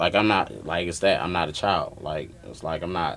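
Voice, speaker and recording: With fairly even intonation, a man talks against noticeable background noise. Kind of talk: casual chat.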